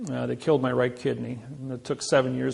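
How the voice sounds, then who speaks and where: A man speaks at a fairly quick pace with a Midwestern American accent. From US Midwest, Indiana. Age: 60s. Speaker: seminar speaker. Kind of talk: seminar talk.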